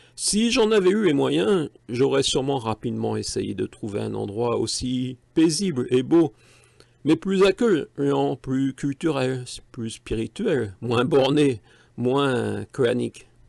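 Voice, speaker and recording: A man at a very slow pace, over a quiet background. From northern France. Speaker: YouTuber, writer. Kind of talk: casual commentary; scripted narration.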